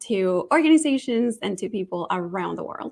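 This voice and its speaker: Speaking at a moderate pace, a woman with a Spanish accent uses lively intonation. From Colombia, Bogota. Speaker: nonprofit marketing executive and author. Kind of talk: interview.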